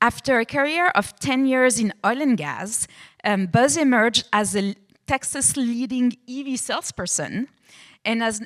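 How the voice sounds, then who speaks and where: A high-pitched woman in a French accent, fairly slow and lively in intonation, on a very clean, silent-background recording with a dry, close sound and no echo. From France. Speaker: panel moderator. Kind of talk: panel introduction.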